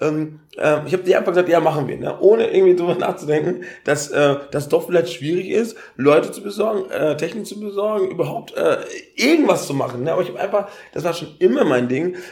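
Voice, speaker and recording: Talking at a very fast pace, a man has a high pitch and ordinary pitch variation. His loudness swings a lot. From Ghana. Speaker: event organizer and triathlete. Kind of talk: casual interview.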